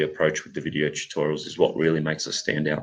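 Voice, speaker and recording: A man is speaking. He has an Australian accent. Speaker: math curriculum company representative. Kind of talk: live Q&A session. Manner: halting.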